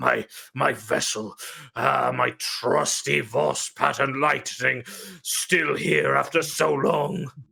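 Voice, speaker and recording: Putting on a growling character voice, a man speaks at a very slow pace with medium pitch and very even loudness. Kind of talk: grim heroic declamation. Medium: actual play. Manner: commanding, wrathful.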